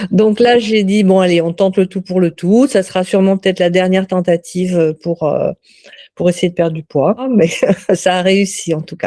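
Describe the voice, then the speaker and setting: A woman's medium-pitched voice, dark and mellow in tone, at a moderate pace with fairly even intonation, recorded dry and close with no echo. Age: 60s. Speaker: customer giving a testimonial. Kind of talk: testimony. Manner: hesitant, many fillers and repetitions.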